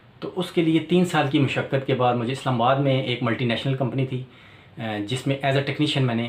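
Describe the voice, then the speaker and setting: Ordinary pitch variation marks a man's voice, which sits at a medium pitch. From Pakistan, Rawalpindi. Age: 40s. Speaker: electrician and YouTuber. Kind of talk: channel introduction monologue. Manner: hesitant with filler sounds.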